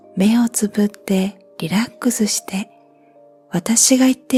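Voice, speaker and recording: Music plays behind a woman whose fairly high voice moves at a fairly slow pace, the sound dry and close with no echo. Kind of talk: sleep-inducing guided relaxation reading. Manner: slow, soft-spoken.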